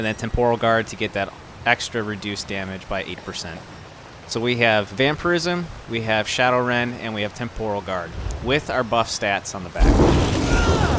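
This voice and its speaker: The speech moves at a moderate pace with ordinary pitch variation. Noticeable background noise runs beneath it. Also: man. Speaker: gaming video creator. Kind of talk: game build tutorial. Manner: animated.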